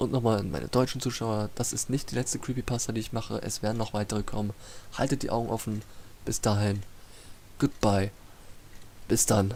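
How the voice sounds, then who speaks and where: In a German accent, a man with a fairly low pitch talks at a fairly quick pace, his intonation fairly even and broken by long, frequent pauses. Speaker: YouTube storyteller. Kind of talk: casual outro. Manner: halting.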